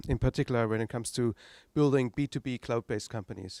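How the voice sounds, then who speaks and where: A man speaks very fast with a German accent and ordinary pitch variation. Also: dry, close sound with no echo, very clean recording, silent background. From East Germany. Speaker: tech entrepreneur. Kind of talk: talk to an audience. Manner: halting.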